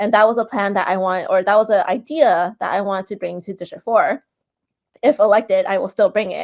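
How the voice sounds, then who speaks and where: An ordinary speaking voice from a woman with an American accent, medium in pitch, fairly quick, with ordinary pitch variation. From San Francisco, US West Coast. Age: 40s. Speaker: political candidate. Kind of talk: interview. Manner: casual, filler-heavy.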